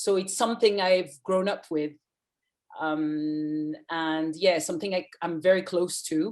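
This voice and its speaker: At a fairly slow pace, a woman of medium pitch speaks in a French accent. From France. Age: 30s. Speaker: journalist. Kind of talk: interview. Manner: halting.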